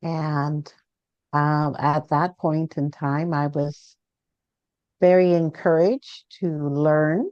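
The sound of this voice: A woman speaks low in pitch with a slightly mellow tone and fairly even intonation, in a dry, close sound with no echo.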